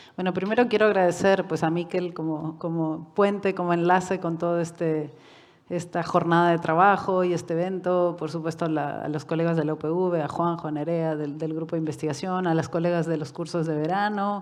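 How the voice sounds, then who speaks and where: A woman with a fairly low voice talks at a fairly quick pace in a monotone, flat delivery, with audible room echo around her. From Uruguay and Mexico. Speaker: UN human rights expert. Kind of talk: lecture. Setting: conference hall with online audience.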